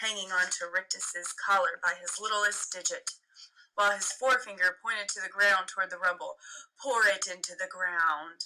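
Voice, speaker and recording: Using a put-on character voice, a woman sounds shrill at medium pitch, moving at a moderate pace with fairly even intonation. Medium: read story. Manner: cold, commanding.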